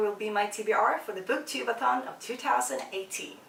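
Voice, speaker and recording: Noticeable background noise behind a woman's fairly high-pitched voice, moderate in pace with ordinary pitch variation. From Sweden. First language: Swedish. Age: 20s. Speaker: book vlogger. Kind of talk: casual vlog. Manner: hesitant, many fillers.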